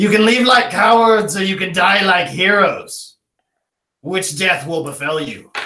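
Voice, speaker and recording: This is a put-on character voice, raised and projected. It moves at a fairly slow pace. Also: man, high pitch for a man. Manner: menacing, declaring.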